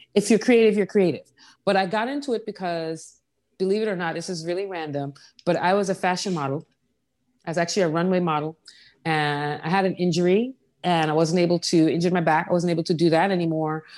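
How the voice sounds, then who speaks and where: In an American accent, the speaker talks at a very fast pace with ordinary pitch variation. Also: woman, fairly low pitch for a woman, very clean recording, silent background. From US Virgin Islands, Saint John. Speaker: furniture designer. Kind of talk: interview.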